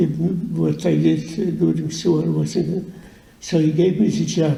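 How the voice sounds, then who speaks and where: Speaking at a fairly slow pace, a man keeps his loudness very even while audible room echo surrounds him. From Poland. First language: Yiddish. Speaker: Holocaust survivor. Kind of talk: testimony. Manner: halting, many repetitions.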